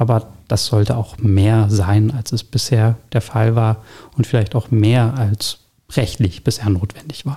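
Somewhat breathy and dark, mellow in tone, a man speaks at a medium pitch. His intonation stays fairly even, and his pace is fairly slow. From Berlin (Pankow). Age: 30s. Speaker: district councillor for urban development. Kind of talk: interview. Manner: hesitant, many fillers.

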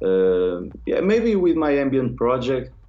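A man with a Portuguese accent talks amid audible room echo. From northern Portugal. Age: young. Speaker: techno producer. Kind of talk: interview.

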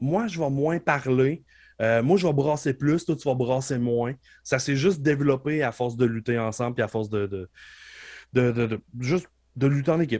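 Speaking at a moderate pace, a man with an unremarkable speaking voice uses a medium pitch and ordinary pitch variation on a very clean recording with a silent background. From Quebec, Beauce. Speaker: professional wrestler. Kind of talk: casual interview chat.

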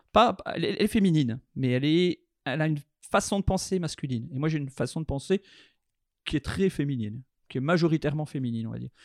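A man speaks at a very fast pace in a fairly high pitch with lively intonation, leaving long, frequent pauses. The recording is very clean with a silent background, and the sound is dry and close with no echo. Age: 30s. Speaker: chocolatier. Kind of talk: interview testimony.

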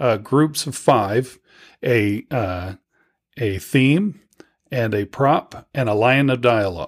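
An ordinary speaking voice: a man at medium pitch with an American accent and ordinary pitch variation. The recording is very clean, with a silent background. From Virginia and South Padre Island, Texas. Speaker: filmmaker. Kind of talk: interview.

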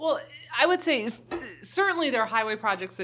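A woman's very fast speech with an American accent and ordinary pitch variation. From Baltimore, Maryland. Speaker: political candidate, former prosecutor. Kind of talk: interview.

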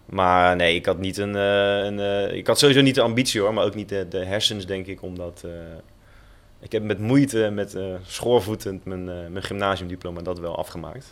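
At a moderate pace, a man with a fairly low pitch speaks with fairly even intonation and big swings in loudness. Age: 30s. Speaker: professional footballer. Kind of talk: casual chat. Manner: halting.

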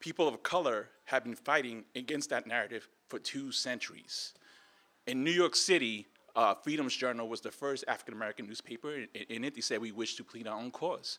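A man talks at a fairly quick pace with a bright, sharp tone and medium pitch. The recording is very clean, with a silent background. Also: ordinary pitch variation. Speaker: media advocate. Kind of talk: panel talk. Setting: conference panel. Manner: halting, repeats words.

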